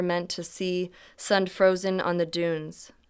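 A woman speaks at a medium pitch with monotone, flat intonation. The recording is very clean, with a silent background. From California. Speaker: poet and professor. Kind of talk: poetry reading.

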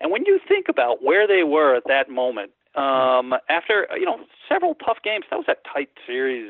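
In a New York accent, a man speaks at a moderate pace. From New York area. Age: 50s. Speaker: graphic designer. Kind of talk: casual chat.

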